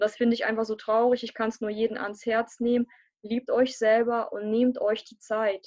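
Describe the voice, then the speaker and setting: Her intonation monotone and flat, a woman talks at a moderate pace and a fairly high pitch, in a dry, close sound with no echo. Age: 20s. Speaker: coaching client. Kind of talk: testimony interview. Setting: live online stream.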